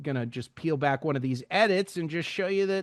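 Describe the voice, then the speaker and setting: Over a quiet background, a man with a fairly high pitch speaks in a plain, everyday voice with lively intonation. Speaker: radio news producer and anchor. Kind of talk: tutorial.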